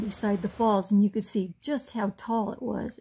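A woman speaks at a moderate pace in a somewhat breathy voice. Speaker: travel vlogger narrator. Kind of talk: travel narration.

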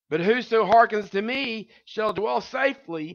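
A man speaks at a slow pace with ordinary pitch variation. His tone is fairly bright, with vocal fry.

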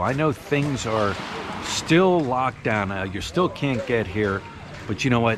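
The recording is dry with no echo but has noticeable background noise, as a man speaks at a fairly slow pace. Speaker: diving vlogger. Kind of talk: casual vlog chat. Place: street. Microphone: phone near.

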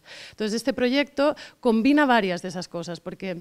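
With a Catalan accent, a woman talks at a moderate pace with lively intonation. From Catalonia, Barcelona. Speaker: science communicator, company director; interviewee. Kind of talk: interview. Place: hall. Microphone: handheld.

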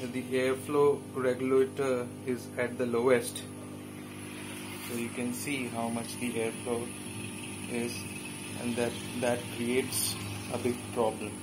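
A man speaks at a very slow pace, with long, frequent pauses. Music plays in the background. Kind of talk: tutorial. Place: workshop. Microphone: phone near.

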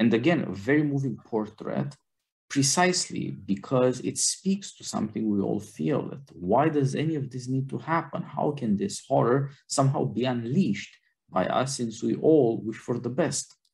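This man has a medium pitch and vocal fry. He talks at a moderate pace with lively intonation. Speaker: podcast host. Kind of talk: film discussion podcast. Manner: formal.

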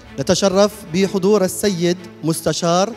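A man's voice over clear music in the background. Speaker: event host. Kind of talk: ceremonial welcome address. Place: hall. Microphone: handheld.

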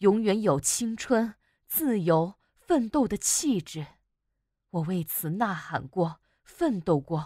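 With a dark, mellow tone and very wide pitch swings, a woman speaks very slowly in a dry, close sound with no echo. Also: medium pitch for a woman, very clean recording, silent background. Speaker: broadcaster, voice-over artist. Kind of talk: prose reading.

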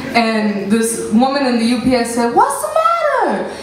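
Light background noise and audible room echo accompany a woman as she talks. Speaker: poet at book release. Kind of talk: casual greeting to audience. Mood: moved, emotional, joyful. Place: stage.

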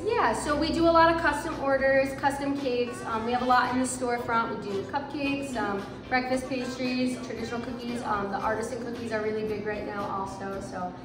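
Speaking at a fairly quick pace with hardly any pauses, a woman shows ordinary pitch variation amid audible room echo and noticeable background noise. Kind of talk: interview answer. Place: shop.

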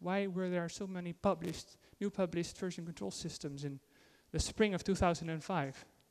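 A dark, mellow tone at a high pitch for a man, with a Dutch accent, a moderate pace and ordinary pitch variation. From Netherlands. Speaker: IT consultant and conference speaker. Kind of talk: conference talk. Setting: stage with audience. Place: hall.

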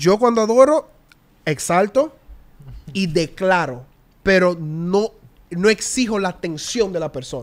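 A man with a high pitch and lively intonation speaks at a fairly slow pace, taking long, frequent pauses. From Curaçao. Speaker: worship singer; podcast guest. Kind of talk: casual chat. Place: studio. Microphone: studio mic.

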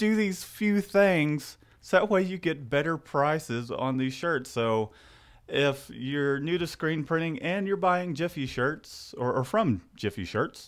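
A man speaks at a fairly slow pace with lively intonation. The background is quiet. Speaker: host. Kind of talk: casual live show chat. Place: home room. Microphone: studio mic.

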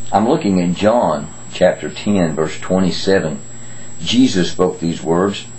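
Here a man talks at a very slow pace, his pitch swinging very widely. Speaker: grandfather giving children's devotions. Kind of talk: children's Bible devotion talk. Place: home room. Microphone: webcam.

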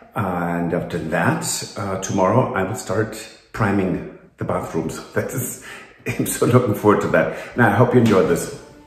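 Against music in the background and audible room echo, a man with a fairly low voice talks at a moderate pace with ordinary pitch variation. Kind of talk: casual vlog chat. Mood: cheerful, upbeat. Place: home room. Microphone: phone near.

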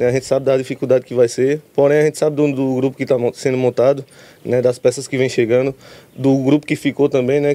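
The man's voice has a dark, mellow tone, racing along at a very fast pace with monotone, flat intonation. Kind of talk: interview answer. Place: stadium. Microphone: handheld.

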